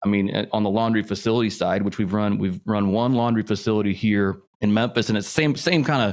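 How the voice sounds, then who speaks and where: In an ordinary speaking voice with an American accent, a man talks at a fairly quick pace and a fairly low pitch, on a very clean recording with a silent background. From US Midwest, Indianapolis, Indiana. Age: 40s. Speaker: real estate investor. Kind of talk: casual interview.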